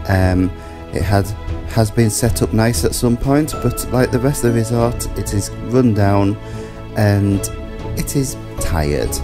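Music plays in the background while a man talks fairly slowly, breaking often into long pauses. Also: ordinary pitch variation. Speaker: holiday vlogger. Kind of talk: casual travel commentary.

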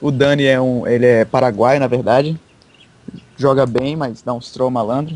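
A medium-pitched man at a moderate pace with monotone, flat intonation. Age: young. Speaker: esports player. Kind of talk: casual chat.

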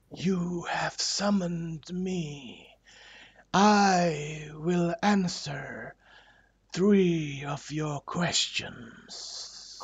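Using a put-on character voice, a man with a high pitch speaks at a very slow pace. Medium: actual play. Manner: eerie, cryptic, solemn.

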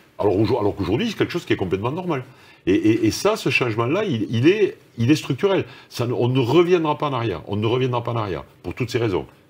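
A man talks at a very fast pace, his pitch swinging very widely. His voice is somewhat breathy. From France, Toulouse; France. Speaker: corporate executive; interviewee. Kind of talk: interview. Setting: video call. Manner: halting, many repetitions. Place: studio.

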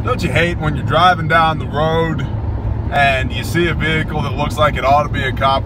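Loud background noise surrounds a man's voice, which sounds dry with no echo. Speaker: prepper channel host. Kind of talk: casual talk to camera. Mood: joking, relaxed. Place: car. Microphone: phone near.

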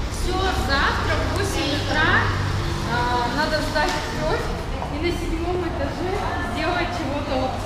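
Through loud background noise and audible room echo, a man speaks at a very slow pace with ordinary pitch variation. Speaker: travel vlogger. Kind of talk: casual vlog chat. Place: hall. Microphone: phone near.

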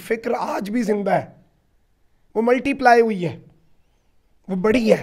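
A man speaks in a high voice at a fairly slow pace. His pitch varies in an ordinary way. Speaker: journalist. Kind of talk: interview. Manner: animated.

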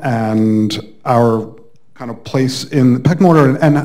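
A man's voice with a dark, mellow tone and ordinary pitch variation. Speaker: university instructor, audience member. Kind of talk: audience question. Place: hall.

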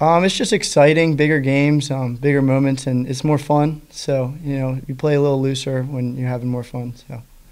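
A man talks at medium pitch and a moderate pace, with few pauses. His intonation is fairly even and his tone slightly mellow.

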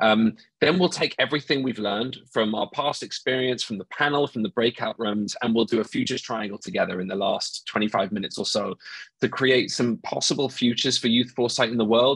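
A man speaks at a fairly quick pace with ordinary pitch variation. The sound is dry with no echo, over a quiet background. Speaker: webinar moderator. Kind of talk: event introduction. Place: home room. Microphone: earbuds.

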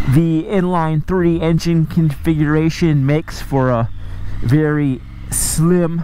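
The voice comes at a very slow pace, with light background noise and a dry sound with no echo. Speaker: motorcycle reviewer. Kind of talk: commentary. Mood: relaxed, appreciative. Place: motorbike.

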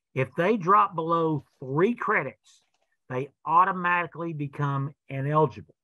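Bright, sharp tone at a moderate pace, ordinary pitch variation, dry sound with no echo, quiet background. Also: man, fairly high pitch for a man. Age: 60s. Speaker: college athletics director. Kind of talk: informational webinar presentation. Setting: video webinar. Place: office. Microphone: webcam.

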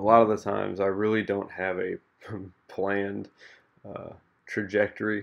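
The speaker is a man with a fairly low pitch. His intonation is monotone and flat. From Missouri, USA. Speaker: artist and podcaster. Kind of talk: casual talk to camera while painting. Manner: soft-spoken, relaxed, with hesitations and fillers. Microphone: studio mic.

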